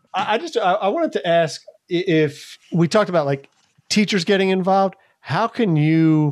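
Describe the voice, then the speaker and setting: In an American accent, a man talks at a high pitch with lively intonation. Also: moderate pace. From Philadelphia. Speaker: teacher, podcast co-host. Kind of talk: casual chat.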